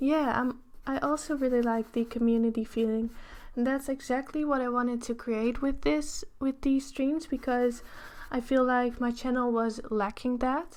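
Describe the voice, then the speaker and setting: A woman with a Dutch accent, high-pitched, at a moderate pace, very even in loudness and fairly even in intonation. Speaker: artist and art teacher. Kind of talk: casual livestream chat while drawing. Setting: livestream. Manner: halting.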